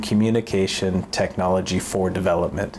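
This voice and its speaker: Noticeable background noise under a man's fairly low voice at a moderate pace. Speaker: international development technology worker. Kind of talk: scripted vlog talk to camera.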